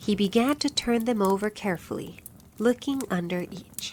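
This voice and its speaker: At a fairly slow pace, a woman speaks in a medium pitch with lively intonation and a somewhat breathy quality. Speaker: narrator. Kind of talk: bedtime story reading. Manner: relaxed, calm.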